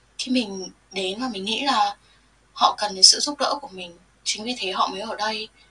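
With noticeable background noise, a woman speaks at a fairly slow pace with ordinary pitch variation and long, frequent pauses. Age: 20s. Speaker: nurse. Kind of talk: interview.

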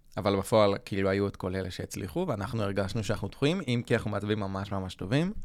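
Fairly low in pitch, a man speaks very fast with hardly any pauses. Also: ordinary pitch variation. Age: 20s. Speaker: graphic designer podcast co-host. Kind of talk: casual chat. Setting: studio.

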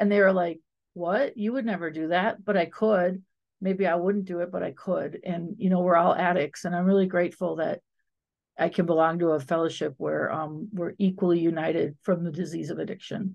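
A woman's plain, everyday voice, fairly low in pitch, fairly quick, with fairly even intonation. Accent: American. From Wisconsin, US Midwest. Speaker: recovering addict, guest panelist. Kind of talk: casual group discussion.

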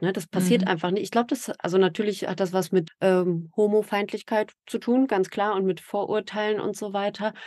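A woman's unremarkable speaking voice at a moderate pace, with fairly even intonation. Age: 40s. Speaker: podcaster and mother in a same-sex family. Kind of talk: interview.

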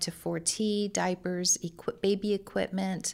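A woman with a Californian accent, medium pitch and fairly even intonation, on a very clean recording with a silent background. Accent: Californian American. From Central California, Lemoore. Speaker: pregnancy center director. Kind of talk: interview.

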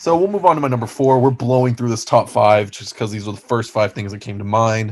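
In a plain, everyday voice, a man speaks with an American accent at a moderate pace, medium in pitch and with ordinary pitch variation. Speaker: sports podcast co-host. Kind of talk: casual chat. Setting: video call.

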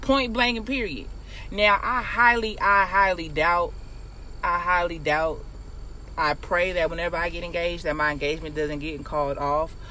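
Against noticeable background noise and audible room echo, a woman with a fairly low pitch talks at a moderate pace with lively intonation. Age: 20s. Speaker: educator. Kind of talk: casual chat.

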